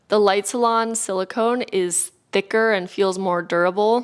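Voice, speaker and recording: A woman's medium-pitched voice in a Californian accent, monotone and flat, on a very clean recording with a silent background. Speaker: beauty and wellness YouTuber. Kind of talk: product review.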